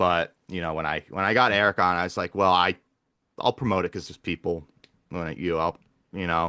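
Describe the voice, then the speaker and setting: Loud and at a fairly quick pace, a man with a very deep, low pitch and a bright, sharp tone shows ordinary pitch variation, in a dry, close sound with no echo and a quiet background. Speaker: podcast host and gamer. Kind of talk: casual chat.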